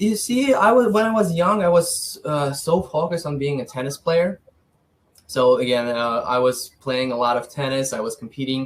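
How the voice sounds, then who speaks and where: A man with a Ukrainian accent speaks at a moderate pace in a fairly high, somewhat breathy voice with lively intonation. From Ukraine (south, then Kyiv). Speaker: financial advisor. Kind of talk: interview. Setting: podcast.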